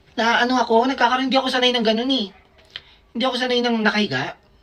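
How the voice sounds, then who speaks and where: A woman's fairly high voice at a very fast pace, over noticeable background noise. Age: 30s. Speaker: vlogger and doctor. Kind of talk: casual storytelling vlog. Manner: animated.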